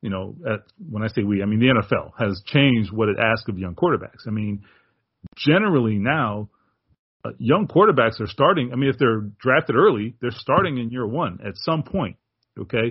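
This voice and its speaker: A man with a plain, everyday voice and an American accent, medium pitch, lively intonation and a moderate pace. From Miami, Florida. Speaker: sportswriter. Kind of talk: casual interview.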